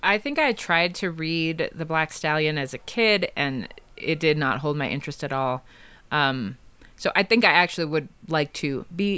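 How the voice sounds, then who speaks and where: With an ordinary speaking voice, a woman talks at a moderate pace, her fairly low pitch carried by lively intonation. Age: 40s. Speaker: podcast guest, former babysitter. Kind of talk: casual chat.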